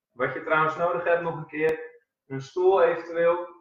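The speaker is a man. His voice carries audible room echo. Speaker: fitness instructor. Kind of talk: casual instructions to a live class. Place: home room. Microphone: camera far.

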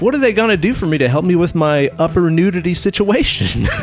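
Over music in the background, a man talks at a fairly quick pace with a high pitch, lively intonation and very even loudness. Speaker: podcast host. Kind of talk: casual podcast conversation.

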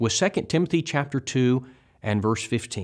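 Behind the man's speech, the background stays quiet. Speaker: bible teacher. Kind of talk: lecture. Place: studio. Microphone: lapel.

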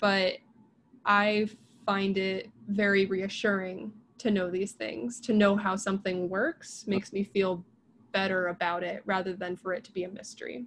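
Over light background noise, a woman with an American accent speaks at a moderate pace with fairly even intonation. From US, rural Pennsylvania. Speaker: biologist and science communicator; guest. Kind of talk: casual interview. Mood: warm, engaged. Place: home room. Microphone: video call.

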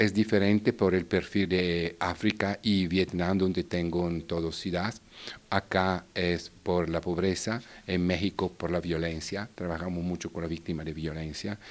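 A man speaks in a very deep, low pitch with a monotone, flat intonation. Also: fairly slow pace. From Italy, Bergamo; Italy. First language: Italian (speaking Spanish). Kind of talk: interview. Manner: halting. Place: hall. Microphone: handheld.

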